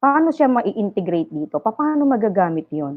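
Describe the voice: A woman's fairly quick delivery with big pitch swings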